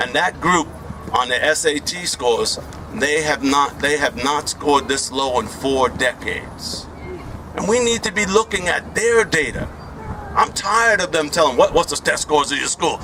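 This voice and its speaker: Over noticeable background noise, a man talks at a moderate pace in a fairly high pitch. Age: 60s. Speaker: education professor and activist speaker. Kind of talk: community meeting speech. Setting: community meeting with audience. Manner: animated.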